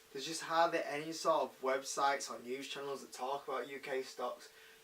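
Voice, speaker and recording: Monotone, flat intonation marks this voice. The speaker goes at a fairly quick pace in a British accent. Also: man. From UK. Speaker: investing YouTuber. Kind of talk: casual talk to camera. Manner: hesitant, many fillers.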